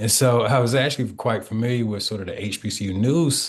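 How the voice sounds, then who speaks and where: This man speaks at a moderate pace with an Alabama accent. His medium-pitched voice is somewhat breathy. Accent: Southern US (Alabama). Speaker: historian and author. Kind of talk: author interview.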